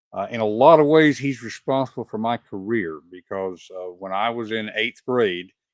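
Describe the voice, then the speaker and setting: With a Southern US accent, a man talks with hardly any pauses. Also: medium pitch for a man, ordinary pitch variation, moderate pace. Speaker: podcast host. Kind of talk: interview.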